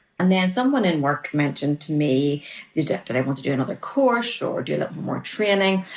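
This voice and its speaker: A woman speaks with a Northern Irish accent at a very deep, low pitch. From Northern Ireland. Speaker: relationship coach. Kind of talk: casual interview chat.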